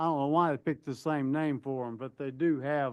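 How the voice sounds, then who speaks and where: Against a quiet background, a man with a fairly high pitch speaks at a moderate pace. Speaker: property owner appealing tax assessment. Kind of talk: testimony. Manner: loud.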